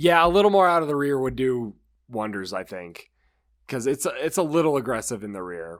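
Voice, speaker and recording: A man at a medium pitch, fairly quick, with very wide pitch swings on a very clean recording with a silent background. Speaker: car podcast co-host. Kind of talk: casual chat. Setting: in-person group recording on vacation.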